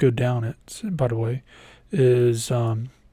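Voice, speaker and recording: In a very clean recording with a silent background, a man talks at a very slow pace in a dark, mellow, somewhat breathy tone. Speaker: IT instructor. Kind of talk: tutorial. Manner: halting, many fillers.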